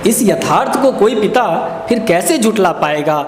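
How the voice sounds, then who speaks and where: Noticeable background noise behind a man speaking at a high pitch. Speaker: poet. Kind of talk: spoken word poetry performance with commentary.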